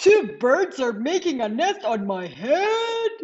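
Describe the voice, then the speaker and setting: This put-on character voice has a high pitch with very wide pitch swings. The pace is fairly slow. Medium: read story. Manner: anxious, fretful.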